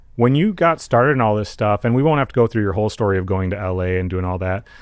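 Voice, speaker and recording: A man speaks at a very fast pace with lively intonation and a fairly low pitch. The background is quiet. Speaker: podcast host. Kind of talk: podcast interview host.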